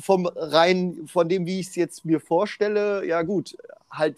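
A high-pitched male voice, dry and close with no echo. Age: 20s. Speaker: podcast host. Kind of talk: casual interview.

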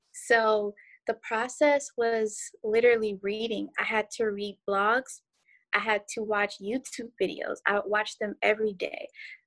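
On a very clean recording with a silent background, a woman with an ordinary speaking voice and a fairly high pitch talks at a fairly slow pace with fairly even intonation. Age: 20s. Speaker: social media content creator and office receptionist. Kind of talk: casual interview.

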